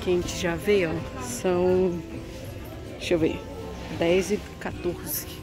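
A woman's fairly low voice at a fairly slow pace, dry with no echo, over clear background music. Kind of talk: casual vlog chat. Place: market. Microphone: phone near.

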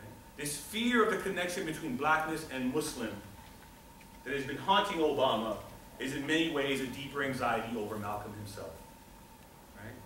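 A man talks with long, frequent pauses and big swings in loudness. There is light background noise and audible room echo. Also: moderate pace. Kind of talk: lecture. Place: classroom. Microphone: camera far.

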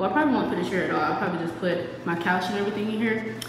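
Strong room echo surrounds a woman's voice, with noticeable background noise behind her. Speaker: vlogger. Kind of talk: casual vlog chat. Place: home room. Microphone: phone near.

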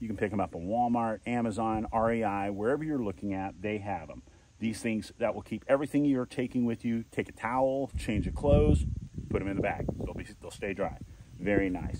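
At a fairly quick pace and with ordinary pitch variation, the voice has a dry sound with no echo over loud background noise. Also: man. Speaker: kayak reviewer. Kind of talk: product review walkthrough. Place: garden. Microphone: phone near.

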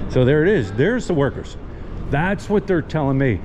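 A man's voice with noticeable background noise. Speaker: vlogger touring a site. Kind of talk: casual vlog chat. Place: hall. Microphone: phone near.

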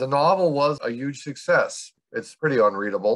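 A man is speaking. His pace is moderate. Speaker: silent film expert. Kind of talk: film discussion podcast.

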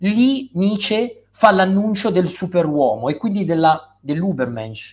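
A man speaks at a very slow pace. His high pitch moves in very wide swings. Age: 30s. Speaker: writer and philosopher; guest. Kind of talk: interview. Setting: live stream. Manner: hesitant, with repeated words and fillers. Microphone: video call.

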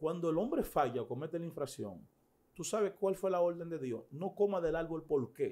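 With vocal fry and a dark, mellow tone, a man talks at a fairly quick pace and a fairly high pitch. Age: 40s. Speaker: pastor; pastor, interview guest. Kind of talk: interview. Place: studio. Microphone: studio mic.

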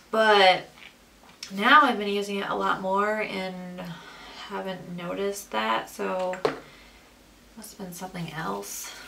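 Light background noise sits behind a woman speaking at a fairly slow pace. She leaves long, frequent pauses. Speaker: beauty vlogger. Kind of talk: makeup tutorial chat. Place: home room. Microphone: camera far.

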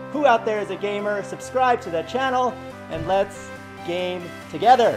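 A man speaking with clear music in the background. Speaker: channel network host. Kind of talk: promotional announcement.

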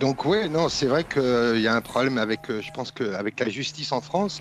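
Faint music plays in the background. A man speaks at a moderate pace with lively intonation. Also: dry sound with no echo. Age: 40s. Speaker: caller. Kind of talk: casual chat. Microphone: video call.

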